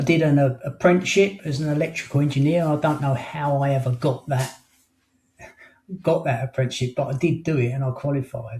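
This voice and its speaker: Somewhat breathy, this voice moves fairly quickly while its intonation stays fairly even. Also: man, fairly high pitch for a man. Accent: English. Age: 60s. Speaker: life coach and hypnotherapist. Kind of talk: interview. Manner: halting.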